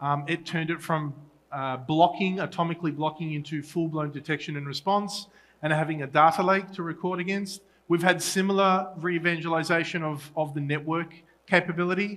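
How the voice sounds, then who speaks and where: Talking at a fairly quick pace, a man with an Australian accent keeps his high pitch fairly even in intonation. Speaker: solutions engineer at a tech conference. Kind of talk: conference talk. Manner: halting with fillers and restarts.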